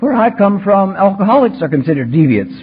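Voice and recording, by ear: A man puts on a squeaky, high-pitched character voice with very wide pitch swings. He talks at a fairly quick pace.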